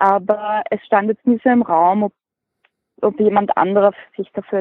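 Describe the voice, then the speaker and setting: A woman with an unremarkable speaking voice, medium pitch, and moderate pace. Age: 20s. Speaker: hobby beekeeper and blogger. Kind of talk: interview.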